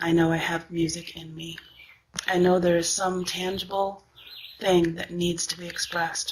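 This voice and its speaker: Over noticeable background noise, a woman with a fairly low pitch speaks at a moderate pace in a monotone, flat intonation, her loudness swinging widely. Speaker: singer. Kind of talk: personal testimony.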